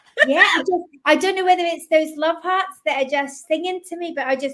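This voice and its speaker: A woman with a slight Scottish accent. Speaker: psychic medium. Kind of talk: live psychic reading. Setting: live stream.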